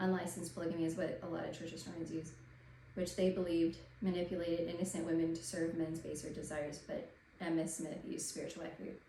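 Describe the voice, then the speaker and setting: Woman at a very fast pace in monotone, flat intonation, over noticeable background noise. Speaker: religious history commentator. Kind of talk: casual talk to camera.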